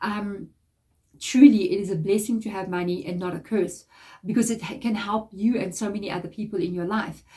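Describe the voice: A woman speaks at a fairly quick pace in a medium pitch with fairly even intonation. Her voice is nasal, with a dark, mellow tone.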